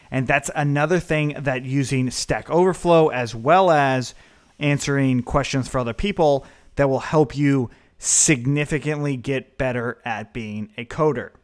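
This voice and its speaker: In a normal speaking voice, a man talks at a fairly slow pace and a fairly high pitch with ordinary pitch variation, on a very clean recording with a silent background. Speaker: programming instructor. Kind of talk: tutorial. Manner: casual.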